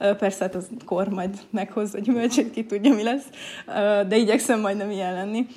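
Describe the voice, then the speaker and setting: Over noticeable background noise, a woman speaks at a moderate pace and medium pitch with fairly even intonation. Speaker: university lecturer in teacher education. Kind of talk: casual interview.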